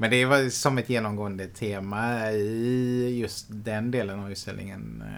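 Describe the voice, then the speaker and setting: At a fairly slow pace with hardly any pauses, a man speaks in a fairly low pitch with monotone, flat intonation. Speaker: podcast co-host. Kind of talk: casual chat.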